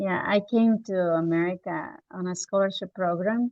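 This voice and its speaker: Using a Spanish accent, a woman speaks at a moderate pace. Her pitch is medium. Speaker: teacher. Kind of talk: casual chat.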